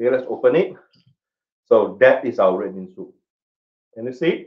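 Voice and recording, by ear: Big pitch swings run through this man's medium-pitched voice.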